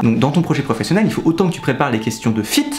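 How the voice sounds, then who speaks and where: Music fills the background while a man talks. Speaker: student advice youtuber. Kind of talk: tutorial. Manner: fast; animated.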